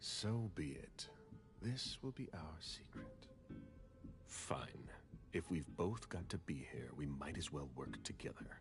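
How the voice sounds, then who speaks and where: Whispering in a put-on character voice, a man speaks at a fairly slow pace with long, frequent pauses over clear background noise. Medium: video game. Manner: cold, commanding.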